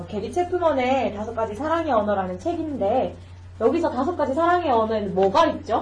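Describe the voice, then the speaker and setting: A woman talks at a fairly quick pace with a high pitch and very wide pitch swings. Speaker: podcast host. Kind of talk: casual chat.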